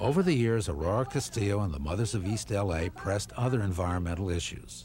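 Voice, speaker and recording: A man talks at a very fast pace with lively intonation. His pitch sits fairly low. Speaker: documentary narrator. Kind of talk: documentary narration.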